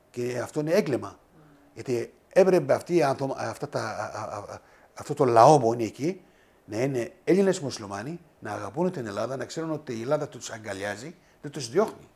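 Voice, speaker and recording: With lively intonation and big swings in loudness, a man talks at medium pitch and a moderate pace. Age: 60s. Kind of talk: interview. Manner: halting.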